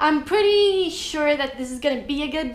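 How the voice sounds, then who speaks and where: A woman talks at a moderate pace amid noticeable background noise, with room echo clearly audible. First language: Estonian. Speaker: booktuber. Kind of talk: vlog book review.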